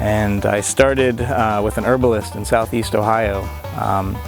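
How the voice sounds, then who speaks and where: A man with a fairly low voice speaks with ordinary pitch variation while music plays in the background. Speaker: beekeeper and small market farmer. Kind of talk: interview talk to camera.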